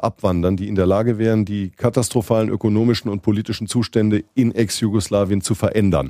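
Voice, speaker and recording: On a very clean recording with a silent background and a dry, close sound with no echo, a man with a fairly low pitch and dark, mellow tone speaks at a fairly quick pace. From southwestern Germany (Mannheim area). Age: 50s. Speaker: journalist and Balkan expert. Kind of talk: podcast interview.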